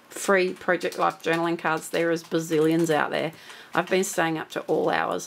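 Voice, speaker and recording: A woman's voice over noticeable background noise. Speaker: crafter making a software tutorial. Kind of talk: tutorial.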